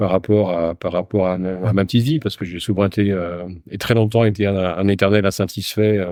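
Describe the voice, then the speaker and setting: The tone is dark and mellow, with fairly even intonation. The background is quiet. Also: man, fairly low pitch for a man. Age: 60s. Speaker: company founder. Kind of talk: casual interview. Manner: halting.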